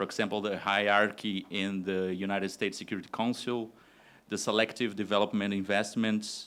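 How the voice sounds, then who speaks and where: Spoken at a fairly quick pace in a flat monotone, this voice carries a Portuguese accent on a very clean recording with a silent background. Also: man. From Brazil. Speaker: university professor, audience questioner. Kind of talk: audience question at academic forum. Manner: hesitant, many fillers.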